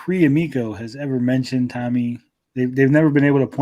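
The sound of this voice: An unforced reading voice with fairly even intonation, set against a quiet background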